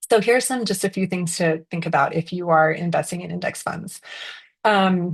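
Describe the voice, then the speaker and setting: A somewhat breathy woman speaks at a moderate pace and a fairly low pitch, with ordinary pitch variation and a quiet background. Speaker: financial strategist. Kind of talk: webinar presentation. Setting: Zoom video call with screen share. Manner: casual with many fillers.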